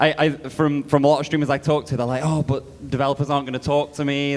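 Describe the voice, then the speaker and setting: A man's very fast, flat, monotone delivery in a British accent, fairly high in pitch. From Britain. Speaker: game publisher representative. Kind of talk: conference panel talk.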